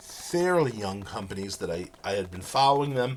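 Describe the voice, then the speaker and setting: A man over noticeable background noise. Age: 60s. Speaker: professor. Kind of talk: lecture. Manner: halting.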